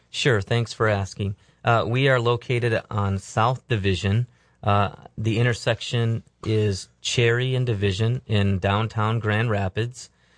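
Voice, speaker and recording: A man with an American accent speaks at a fairly slow pace and medium pitch, monotone and flat, his loudness very even. The sound is dry and close with no echo, over a quiet background. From Michigan, US. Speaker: pastor. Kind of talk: interview testimony. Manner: casual, hesitant with fillers.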